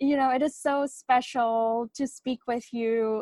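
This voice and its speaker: Very slow, fairly even speech in a Bengali accent, with a dry, close sound and no echo. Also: woman. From India. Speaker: novelist. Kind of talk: interview.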